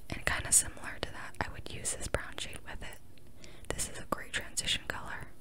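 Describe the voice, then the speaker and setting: A woman is whispering at a fairly quick pace. There is noticeable background noise. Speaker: ASMR creator. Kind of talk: ASMR makeup collection show-and-tell. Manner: whispered.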